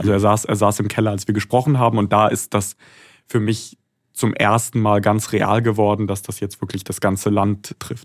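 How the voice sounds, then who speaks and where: On a very clean recording with a silent background, a man speaks at a moderate pace with a fairly low, monotone, flat delivery. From Germany. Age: 20s. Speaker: foreign correspondent. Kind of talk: interview.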